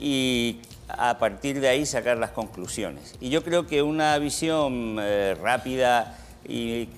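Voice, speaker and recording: A man at a very slow pace with ordinary pitch variation. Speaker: economics professor. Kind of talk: TV studio Q&A answer. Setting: TV studio with audience.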